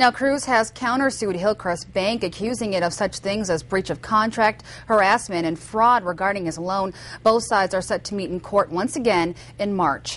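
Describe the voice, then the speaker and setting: A plain, everyday voice from a woman, medium in pitch, moderate in pace, and with ordinary pitch variation. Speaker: television news reporter. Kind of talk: TV news report voiceover.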